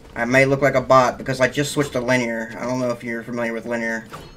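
A man's voice over noticeable background noise. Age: 20s. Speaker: gaming content creator. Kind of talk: casual gaming chat. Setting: online voice chat while gaming. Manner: animated.

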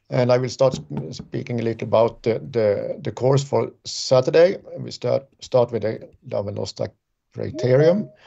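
A man talks at a fairly slow pace with a quiet background. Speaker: remote guest. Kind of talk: interview answer. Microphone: video call.

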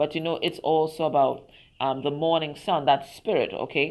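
Over a quiet background, a woman speaks at a moderate pace in a very deep, low pitch. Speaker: tarot reader. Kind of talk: tarot reading talk to viewers. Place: garden. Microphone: phone near.

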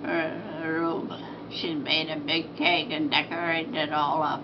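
A woman with an American accent speaks at a very slow pace over noticeable background noise. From Iowa. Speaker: grandmother. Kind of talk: casual interview answer. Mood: pleased, calm. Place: home room. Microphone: camera far.

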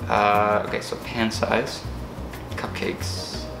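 A man talks with music playing in the background. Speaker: vlogger. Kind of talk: casual vlog chat. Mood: playful, joking. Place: kitchen. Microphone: camera far.

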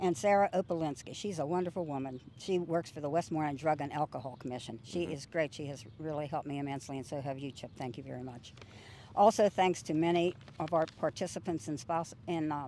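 A woman's very deep, low voice, dark and mellow in tone, very fast in pace, with ordinary pitch variation, big swings in loudness, dry sound with no echo and light background noise. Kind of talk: interview answer. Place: garden. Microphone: handheld.

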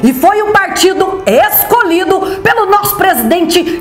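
Music plays in the background as a woman speaks very slowly in an upbeat tone. Audible room echo surrounds her voice. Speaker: rodeo announcer. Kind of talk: political campaign ad. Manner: upbeat, rallying.

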